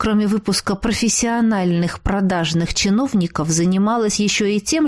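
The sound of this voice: An unforced reading voice carries the text, its pitch varying in an ordinary way.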